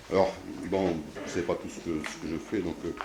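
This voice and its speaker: Speech moves at a fairly quick pace. There is audible room echo along with noticeable background noise. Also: man. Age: 60s. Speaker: mayor and local councillor. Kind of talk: candidate speech at council meeting. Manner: halting, many hesitations.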